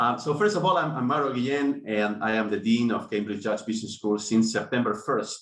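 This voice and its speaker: A man speaks with a Spanish accent. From Spain. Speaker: business school dean. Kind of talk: online panel discussion. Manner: halting, many fillers.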